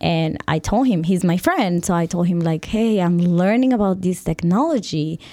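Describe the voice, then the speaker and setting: The voice has a dark, mellow tone and a Spanish accent, moving at a moderate pace. Loudness stays very even, and pitch varies in an ordinary way. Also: woman, fairly low pitch for a woman. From Colombia. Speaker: fashion designer and brand founder. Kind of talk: casual interview. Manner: halting, hesitant with fillers.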